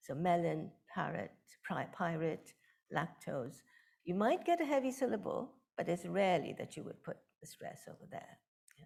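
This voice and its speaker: A woman in a Bengali accent speaks with long, frequent pauses and big swings in loudness. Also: moderate pace. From India, West Bengal. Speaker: professor of linguistics. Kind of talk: lecture.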